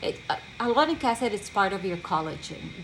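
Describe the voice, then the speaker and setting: This woman speaks with a non-native accent. Her pitch sits at a medium level. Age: 30s. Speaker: medical esthetician. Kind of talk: product demonstration. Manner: halting, with fillers.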